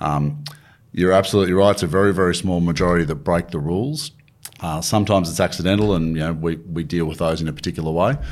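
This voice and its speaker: A man with an Australian accent talks at a very fast pace. His pitch is very deep and low, with ordinary variation. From country New South Wales, Australia. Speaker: government agency chief executive. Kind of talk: interview.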